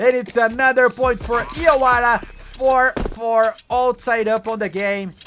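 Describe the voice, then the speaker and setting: Someone with a Brazilian Portuguese accent talks at a fairly slow pace with hardly any pauses, over noticeable background noise. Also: man, extremely high pitch for a man, fairly even intonation. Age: 30s. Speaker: esports caster. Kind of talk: live commentary. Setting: live stream.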